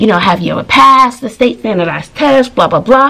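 Talking at a very fast pace, a woman uses lively intonation. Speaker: teacher, vlogger. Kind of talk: casual vlog storytelling. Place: home room. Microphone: phone near.

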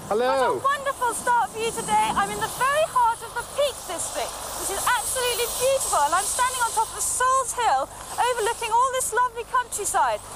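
Over loud background noise, the speech comes at a fairly quick pace in a dry sound with no echo. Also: woman, ordinary pitch variation. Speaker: TV presenter. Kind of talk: live outdoor presenter commentary. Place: open country. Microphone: headset.

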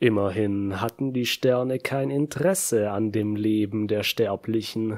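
A man with a fairly low pitch speaks at a fairly slow pace with hardly any pauses. His tone is menacing and dramatic, with ordinary pitch variation. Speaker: audiobook narrator. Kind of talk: dramatic scripted narration of a villain's monologue. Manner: slow, brooding, menacing, measured with dramatic pauses; theatrical, solemn and intense.

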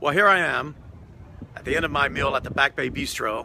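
A man talks at a moderate pace, the sound dry with no echo, amid noticeable background noise. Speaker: travel vlogger. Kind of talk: casual vlog chat. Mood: relaxed, content after meal. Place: waterside. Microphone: phone near.

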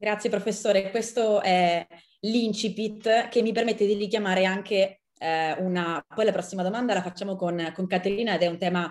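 The background is quiet and the pace is moderate. Intonation stays fairly even. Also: woman. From Italy. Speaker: journalist and moderator. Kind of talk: moderated dialogue. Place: home room. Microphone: video call.

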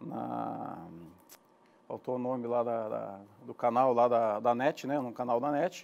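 Speaking very slowly with long, frequent pauses, a man keeps a fairly even intonation at a medium pitch. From Rio Grande do Sul, Brazil (Gramado, Serra Gaúcha); Rio Grande do Sul, Brazil. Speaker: businessman, online media producer; guest. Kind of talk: casual interview. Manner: halting, repeats words. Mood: relaxed, conversational. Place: studio. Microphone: lapel.

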